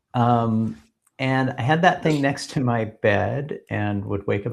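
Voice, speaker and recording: Somewhat breathy and with lively intonation, the speaker has an American accent. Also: man. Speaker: edtech company founder. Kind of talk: podcast interview. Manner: hesitant, many fillers.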